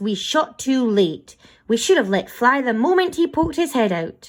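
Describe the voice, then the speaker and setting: Using a put-on character voice pitched high, a woman talks at a moderate pace on a very clean recording with a silent background. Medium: read story. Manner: gruff.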